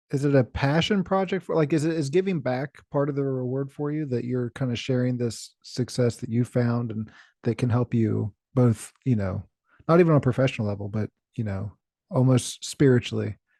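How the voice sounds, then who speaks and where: A man's medium-pitched voice carries a dark, mellow tone at a fairly quick pace. The sound is dry and close with no echo, over a quiet background. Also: ordinary pitch variation. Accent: American. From rural West Virginia. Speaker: podcast host. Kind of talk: interview.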